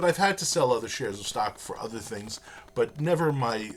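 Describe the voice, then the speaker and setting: Noticeable background noise beneath lively intonation and a moderate pace. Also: man. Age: 60s. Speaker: professor. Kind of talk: lecture. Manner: halting.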